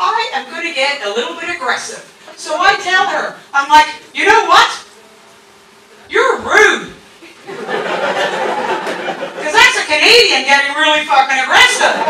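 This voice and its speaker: A woman projects her voice at an extremely high pitch, with very wide pitch swings and a fairly slow pace. Audible room echo and noticeable background noise surround her. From Canada. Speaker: stand-up comedian. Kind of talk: stand-up. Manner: animated.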